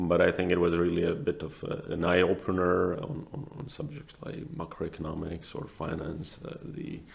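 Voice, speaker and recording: At a moderate pace with hardly any pauses, a man with a Latvian accent speaks at a very deep, low pitch, with lively intonation and big swings in loudness. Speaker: asset manager. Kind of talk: interview. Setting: room with open windows. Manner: halting.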